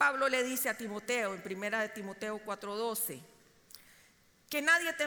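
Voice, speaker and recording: The woman talks at a fairly slow pace with ordinary pitch variation. Audible room echo surrounds her voice. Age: 50s. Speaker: preacher. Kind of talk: sermon.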